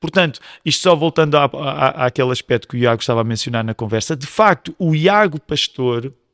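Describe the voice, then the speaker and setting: In an unremarkable speaking voice, a man talks at a fairly quick pace with a fairly high pitch and lively intonation, the sound dry and close with no echo on a very clean recording with a silent background. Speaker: pastor. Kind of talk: casual chat.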